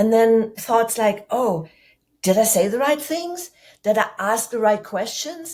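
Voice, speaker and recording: In a German accent, a woman speaks at a fairly slow pace and a fairly high pitch. Her intonation is lively, and the recording is very clean with a silent background. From Germany. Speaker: public speaking coach. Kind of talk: podcast interview.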